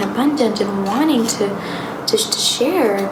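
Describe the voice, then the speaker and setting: Over noticeable background noise, a soft-spoken woman with a fairly high pitch talks at a fairly slow pace. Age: young. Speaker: tarot reader. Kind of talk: soft-spoken ASMR tarot reading.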